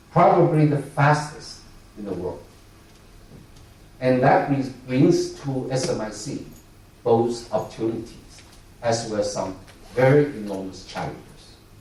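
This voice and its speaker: A medium-pitched man's voice with lively intonation and big swings in loudness, fairly slow with long, frequent pauses, amid noticeable background noise and audible room echo. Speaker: semiconductor industry executive. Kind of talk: keynote speech. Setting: conference stage with audience. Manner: halting, many filler sounds.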